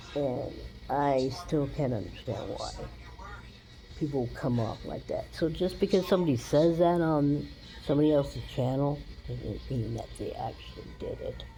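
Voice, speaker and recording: A woman speaks at a fairly slow pace, with audible room echo around her voice. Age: 60s. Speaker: vlogger. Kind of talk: casual chat. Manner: animated.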